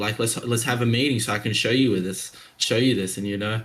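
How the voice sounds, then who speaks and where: A man at a medium pitch with an Australian accent, a fairly quick pace and ordinary pitch variation. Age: 20s. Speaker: young entrepreneur. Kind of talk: casual chat. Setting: video call.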